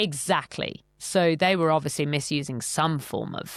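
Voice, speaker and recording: A woman speaks with a British accent. Her pitch is very deep and low, with ordinary variation. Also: moderate pace. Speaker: podcast host. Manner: chatty, animated.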